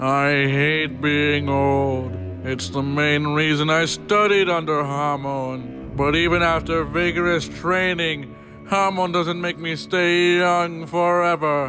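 A man does a cartoonish character voice, fairly high-pitched and at a fairly slow pace, with clear music in the background. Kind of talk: anime parody dub.

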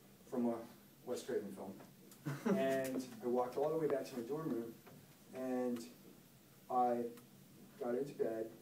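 A man talks with long, frequent pauses. The room has audible echo and light background noise. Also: ordinary pitch variation, moderate pace. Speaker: teacher or guest speaker. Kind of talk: storytelling to a class. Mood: suspenseful ghost story. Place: classroom. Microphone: camera far.

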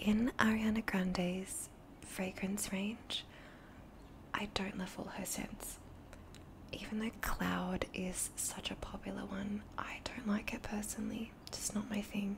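Very slow whispering from a woman. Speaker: beauty reviewer. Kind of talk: casual vlog chat. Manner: soft-spoken, close-mic ASMR voice. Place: home room. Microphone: studio mic.

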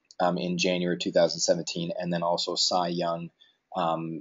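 Against a quiet background, a man speaks with a very deep, low pitch and monotone, flat intonation. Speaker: call host. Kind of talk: tutorial. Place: office.

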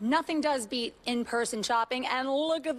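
A woman's speech moves at a moderate pace. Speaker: TV news reporter. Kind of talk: live news report chat. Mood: excited, playful, laughing. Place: garage. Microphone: handheld.

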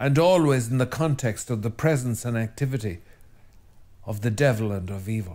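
In an Irish accent, a man speaks at a moderate pace and medium pitch, his tone dark and mellow and his pitch variation ordinary. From Ireland. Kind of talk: religious talk to camera. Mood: calm, earnest. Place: studio.

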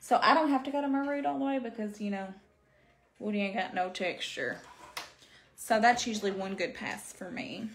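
A woman with an Arkansas accent talks at a fairly quick pace and fairly high pitch. Her intonation is lively, with light background noise. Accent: Southern US (Arkansas). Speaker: beauty livestreamer. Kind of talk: live makeup stream chatting with viewers. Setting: home livestream with ring light. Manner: casual, animated. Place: home room. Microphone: phone near.

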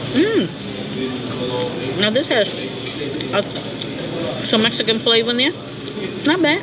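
Loud background noise surrounds this woman's voice. She speaks at a very slow pace. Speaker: food reviewer. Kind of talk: casual food review vlog. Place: cafe. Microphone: phone near.

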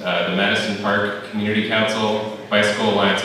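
A man's voice with strong room echo and light background noise. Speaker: event volunteer host. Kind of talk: event announcement. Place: hall.

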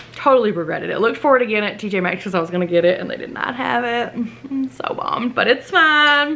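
Speaking with a Southern US accent, a woman talks at a very fast pace and high pitch, with lively intonation and hardly any pauses. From US South. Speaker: lifestyle vlogger. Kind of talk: casual chat. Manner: animated. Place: home room. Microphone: camera far.

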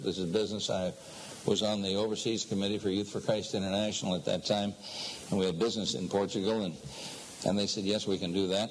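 Over noticeable background noise, a man speaks very fast in a flat monotone at a fairly low pitch. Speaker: preacher. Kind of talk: sermon. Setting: echoey room.

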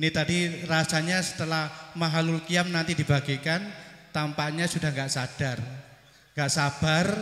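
With audible room echo, a man speaks in a fairly high pitch, his intonation flat and monotone and his loudness very even. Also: moderate pace. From East Java, Banyuwangi; East Java, Indonesia. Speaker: school principal; preacher. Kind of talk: welcome speech at religious gathering. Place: stage. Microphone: handheld.

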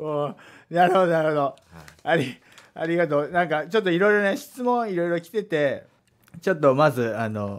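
Against a quiet background, a man talks fairly quickly in a high voice with very wide pitch swings. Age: 30s. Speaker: radio host; radio show host. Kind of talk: casual chat. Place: studio.

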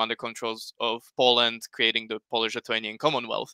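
A man with a Slovak accent speaks at a moderate pace in a bright, sharp tone, with a dry, close sound and no echo. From Slovakia. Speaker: history YouTuber. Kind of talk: panel discussion on livestream. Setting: video call livestream.

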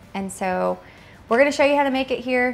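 A woman talks at a moderate pace with ordinary pitch variation. Music plays in the background. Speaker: home cook host. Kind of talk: cooking tutorial. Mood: warm, cheerful. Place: kitchen.

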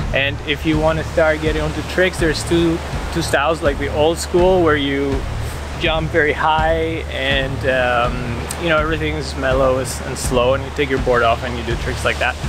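Moderate-paced speech with a dry sound with no echo, set against noticeable background noise. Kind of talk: casual vlog chat. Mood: enthusiastic. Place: beach. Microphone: phone near.

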